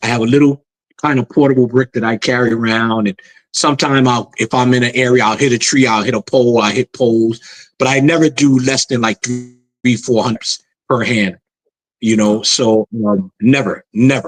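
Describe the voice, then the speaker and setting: Speaking in a New York accent, a man holds a moderate pace at medium pitch with fairly even intonation, the sound dry and close with no echo. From New York City. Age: 60s. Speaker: martial arts master and magazine founder. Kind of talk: interview. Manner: halting, repetitive.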